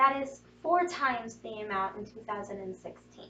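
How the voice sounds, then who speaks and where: The speaker is a woman. Her pitch rises and falls in an ordinary way. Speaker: student giving a speech. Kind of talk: prepared speech.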